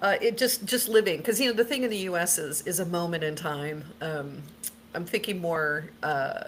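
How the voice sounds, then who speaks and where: A woman speaks at a fairly low pitch with lively intonation. Noticeable background noise runs behind her. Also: moderate pace. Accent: American. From United States. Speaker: paranormal experiencer. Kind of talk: casual chat.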